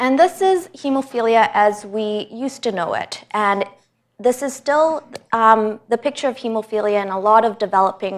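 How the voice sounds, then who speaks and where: A woman with a Canadian accent and an ordinary speaking voice talks at a fairly high pitch and a moderate pace, with lively intonation. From Canada, Vancouver. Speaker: hematologist. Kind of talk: lecture. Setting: hospital presentation room with audience.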